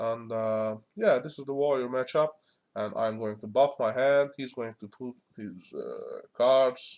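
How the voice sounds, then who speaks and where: In a Turkish accent, a man with a medium-pitched voice talks fairly slowly, with ordinary pitch variation and big swings in loudness. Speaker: gaming streamer. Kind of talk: gameplay commentary. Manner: halting, many fillers.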